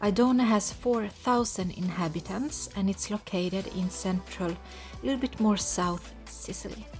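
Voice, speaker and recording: A woman talks at a fairly slow pace. Music can be heard behind her. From Lapland, Sweden. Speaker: travel vlogger living in Sicily. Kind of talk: casual talk to camera, travel narration.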